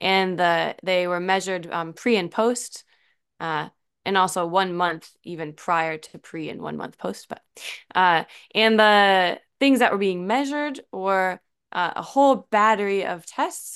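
The speaker has an American accent and talks at a fairly slow pace with ordinary pitch variation. Loudness swings widely, over a quiet background. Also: woman, medium pitch for a woman. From Illinois, US Midwest. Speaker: researcher, poi therapy entrepreneur. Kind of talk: interview, casual chat. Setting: remote call. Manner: laughs often.

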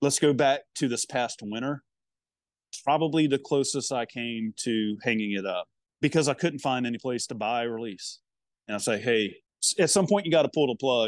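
Recorded dry and close with no echo, a man speaks at a medium pitch. His pitch varies in an ordinary way over a quiet background. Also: moderate pace. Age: 50s. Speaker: barbecue pitmaster and restaurant owner. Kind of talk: casual chat.

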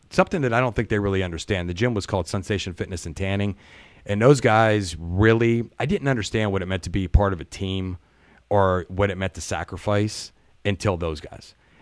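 Fairly low in pitch, a man with an American accent talks at a fairly quick pace with ordinary pitch variation and an unremarkable speaking voice. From US Midwest, Youngstown area, Ohio. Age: 50s. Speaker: auto worker and podcaster. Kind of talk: casual interview chat. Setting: live-streamed recording.

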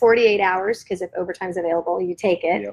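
A woman with an American accent talks fairly quickly in a plain, everyday voice, at a medium pitch with fairly even intonation. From Florida, US South. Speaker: guest sharing faith story. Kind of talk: testimony.

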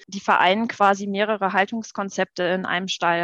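An unremarkable speaking voice at a moderate pace, fairly even in intonation, with a dry, close sound, no echo and a quiet background. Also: woman. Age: 30s. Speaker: horse rider, podcast guest. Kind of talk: casual chat. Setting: video call.

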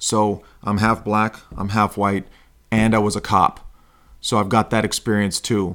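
At a fairly slow pace, a man with a fairly low voice speaks in a monotone, flat way on a very clean recording with a silent background. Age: 40s. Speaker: podcast host, self-help coach. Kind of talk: monologue. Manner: hesitant fillers.

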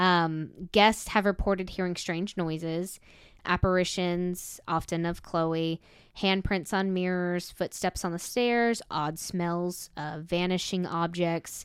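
A woman with an American accent speaks very slowly in a fairly low, monotone voice with flat intonation. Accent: southern US, comes out when heated. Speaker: paranormal podcast co-host. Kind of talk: paranormal storytelling. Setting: video call.

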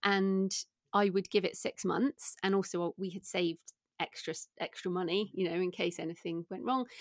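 A woman with an English accent, medium pitch and ordinary pitch variation at a moderate pace, in a dry, close sound with no echo. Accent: British English, English. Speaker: indie author and entrepreneur. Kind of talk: interview, casual chat.

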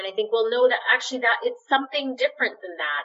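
Speaking at a fairly quick pace with ordinary pitch variation, a woman has an unremarkable speaking voice with a Canadian accent. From Canada, Winnipeg, Manitoba. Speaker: physician and public health officer. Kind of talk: interview. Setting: video call.

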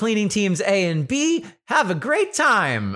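Someone performs a put-on character voice, speaking at a fairly slow pace. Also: man, high pitch for a man.

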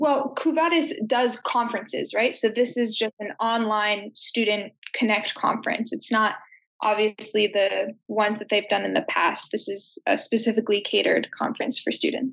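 A woman with an ordinary speaking voice talks at a moderate pace, her fairly high pitch showing ordinary variation. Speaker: university student. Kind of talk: interview. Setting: video call.

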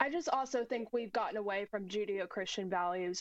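Against a quiet background, a woman with an American accent speaks in an ordinary speaking voice at a medium pitch with ordinary pitch variation. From United States. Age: 20s. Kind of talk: political talk show interview.

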